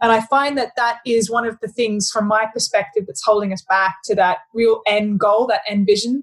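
In an Australian accent, a woman speaks with a fairly high pitch at a moderate pace. Her intonation stays fairly even, with hardly any pauses. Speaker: podcast host, head of sustainability. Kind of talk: casual interview conversation.

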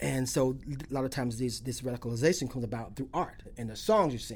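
A man with an American accent speaks in a plain, everyday voice at a medium pitch with fairly even intonation. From Alachua County, Florida. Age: 50s. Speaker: poet. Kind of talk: interview.

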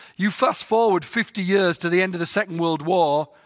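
On a very clean recording with a silent background, a man with an English accent talks at a fairly quick pace in a high, bright, sharp voice. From England. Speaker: mission organization president. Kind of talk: talk to volunteers.

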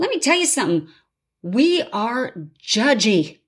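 On a very clean recording with a silent background, a woman's voice moves through very wide pitch swings. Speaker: podcast host. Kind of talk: rally speech, exhortation to writers. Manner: impassioned, urgent, rousing; forceful, repetitive rhetoric.

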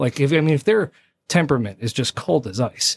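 Somewhat breathy, a man with an American accent speaks at a moderate pace in a dry, close sound with no echo. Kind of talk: casual interview. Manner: calm, even-tempered.

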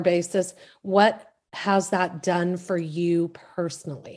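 Against a quiet background, a woman speaks in a warm, enthusiastic tone. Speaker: podcast host. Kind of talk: casual interview chat.

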